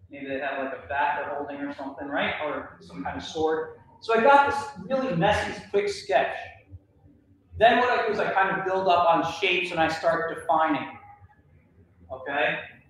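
Long, frequent pauses from a man with a high voice and lively intonation, in strong room echo with light background noise. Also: moderate pace, big swings in loudness. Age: 40s. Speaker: cartoonist and art educator; art educator. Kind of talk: workshop lecture. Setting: library workshop room with audience, livestreamed. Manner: casual with many filler words. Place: hall. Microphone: camera far.

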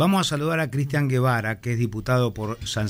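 A man of medium pitch speaks at a moderate pace with ordinary pitch variation. He has a plain, everyday voice. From Argentina. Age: 50s. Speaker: radio host. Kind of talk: radio interview. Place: studio. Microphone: studio mic.

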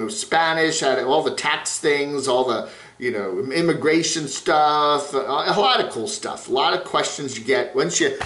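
A man talks at a moderate pace, and audible room echo is present. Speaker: video blogger. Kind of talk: casual vlog commentary. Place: home room. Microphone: phone near.

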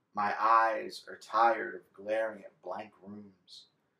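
Very slow speech with a bright, sharp tone comes through with audible room echo. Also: man. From Texas, Galveston; Texas. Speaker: poet. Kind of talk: poetry reading. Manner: expressive. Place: home room. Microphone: camera far.

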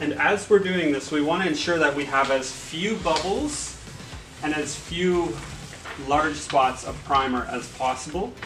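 Noticeable background noise accompanies a man talking with ordinary pitch variation. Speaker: installer giving a demonstration. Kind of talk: tutorial. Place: cafe. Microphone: camera far.

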